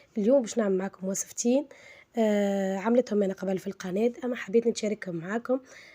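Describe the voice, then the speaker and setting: At a moderate pace and medium pitch, a woman speaks with ordinary pitch variation and a dark, mellow tone, recorded dry and close with no echo. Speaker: cooking channel host. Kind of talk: cooking tutorial. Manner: halting, many fillers.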